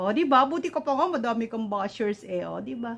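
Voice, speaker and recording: A woman is talking. Her pitch climbs and drops over a very wide range. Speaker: vlogger. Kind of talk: casual vlog greetings. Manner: hesitant, many fillers.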